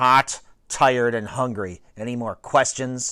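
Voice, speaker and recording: A man's put-on character voice, medium in pitch, growling and grumpy in tone. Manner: growling, grumpy.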